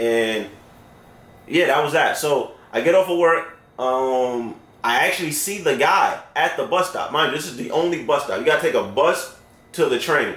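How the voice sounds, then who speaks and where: A man with a New York accent, fairly high-pitched, lively intonation and an animated tone, a moderate pace, audible room echo. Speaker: storyteller. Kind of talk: storytelling. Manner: casual, animated.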